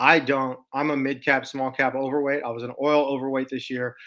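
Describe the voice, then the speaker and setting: On a very clean recording with a silent background, a man with a medium pitch speaks in a Texas accent with a bright, sharp tone. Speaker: stock market commentator. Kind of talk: casual market commentary video. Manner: casual, halting with fillers.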